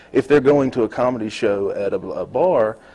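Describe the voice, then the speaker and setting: Noticeable background noise surrounds this man's medium-pitched speech. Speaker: stand-up comedian and songwriter. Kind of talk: casual interview chat.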